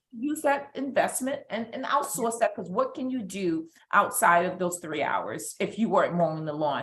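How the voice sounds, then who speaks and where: A woman with a New York accent talks at a fairly high pitch, her loudness swinging widely. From New York, Brooklyn. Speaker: business coach guest. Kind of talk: live stream interview.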